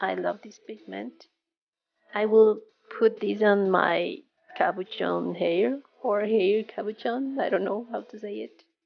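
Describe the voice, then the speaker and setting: A woman's very slow speech in a non-native accent, fairly high in pitch. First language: not English. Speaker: resin crafter. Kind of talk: tutorial.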